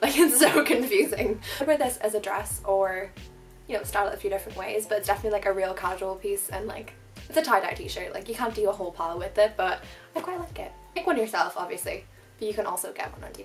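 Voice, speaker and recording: A woman with an Irish accent speaks at a very fast pace with big swings in loudness, music playing in the background. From Ireland. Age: 20s. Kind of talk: casual talk to camera. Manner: chatty, rambling.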